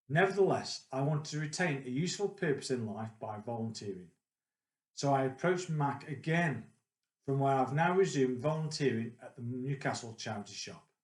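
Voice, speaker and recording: A man speaks at a medium pitch with a Staffordshire accent. His voice is somewhat breathy and his pace fairly quick. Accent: English Midlands (Potteries). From central England, Stoke-on-Trent. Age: 50s. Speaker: retired IT consultant, charity volunteer. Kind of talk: personal testimony, prepared talk. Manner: measured, formal.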